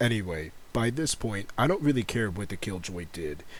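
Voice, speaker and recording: An American accent marks this man's ordinary speaking voice, pitched fairly low and delivered at a fairly quick pace. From United States. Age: 20s. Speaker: gaming YouTuber and streamer. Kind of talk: casual commentary video.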